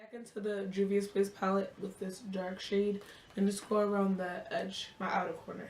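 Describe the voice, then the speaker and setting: Medium-pitched woman's voice in a monotone, flat delivery at a moderate pace, over noticeable background noise. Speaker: beauty vlogger. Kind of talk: casual makeup tutorial talk to camera.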